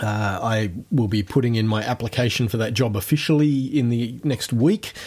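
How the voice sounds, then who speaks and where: With an Australian accent, a man talks at a moderate pace and shows ordinary pitch variation. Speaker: podcast host. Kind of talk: casual chat. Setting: video call.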